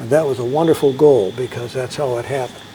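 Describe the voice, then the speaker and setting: A man with an American accent at medium pitch, moderate pace and ordinary pitch variation, with noticeable background noise. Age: 70s. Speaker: former drum major, school alumnus. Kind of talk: interview. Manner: conversational, with many filler words.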